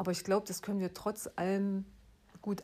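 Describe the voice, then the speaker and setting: This woman has a dark, mellow tone at medium pitch and speaks at a moderate pace. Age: 40s. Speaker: podcast host. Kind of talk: solo podcast monologue. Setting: at home.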